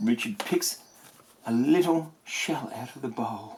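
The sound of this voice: Speaking at a slow pace, a man with a medium pitch has a slightly mellow tone, a slightly husky edge and lively intonation.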